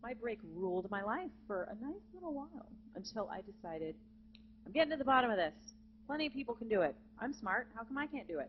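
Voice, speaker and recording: Somewhat breathy and fairly high, a woman's voice races at a very fast pace with very wide pitch swings. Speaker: jazz vocalist and voice teacher. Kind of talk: masterclass lecture to students. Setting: conference center with live student audience. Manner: animated.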